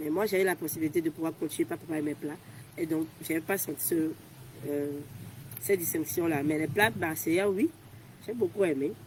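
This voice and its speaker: The speech runs at a fairly quick pace with ordinary pitch variation, broken by long, frequent pauses. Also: woman, fairly low pitch for a woman. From Togo. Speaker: volunteer. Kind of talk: interview. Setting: outdoors. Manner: fast.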